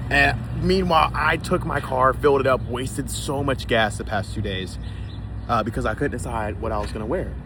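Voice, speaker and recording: A man speaks loudly at a fairly quick pace, his very deep, low voice swinging very widely in an animated tone. Noticeable background noise and audible room echo are present. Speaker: vlogger. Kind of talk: casual vlog chat.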